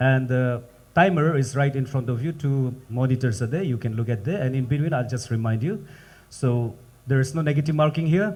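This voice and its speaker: Somewhat breathy and lively in intonation, a man speaks at a moderate pace in a medium pitch. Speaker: quiz master of spelling competition. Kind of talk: live event hosting.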